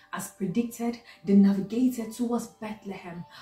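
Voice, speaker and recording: Against faint background music and audible room echo, a woman talks at a fairly high pitch. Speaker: doctor. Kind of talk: spoken word poetry reading. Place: home room. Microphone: phone near.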